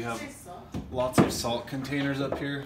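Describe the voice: A man at a moderate pace, with little pitch movement and faint background noise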